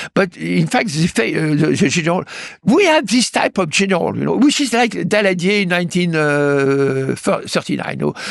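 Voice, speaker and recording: Keeping a very even loudness, a man speaks at a moderate pace with a French accent. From France. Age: 80s+. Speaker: political analyst and author. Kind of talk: interview. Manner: halting, many fillers and repetitions.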